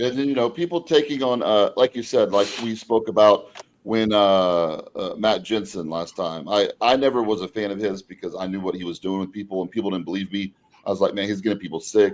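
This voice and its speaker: Here is a plain, everyday voice from a man, fairly low in pitch. He talks at a fairly quick pace with ordinary pitch variation. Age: 40s. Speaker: bodybuilding podcast host. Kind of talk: casual chat.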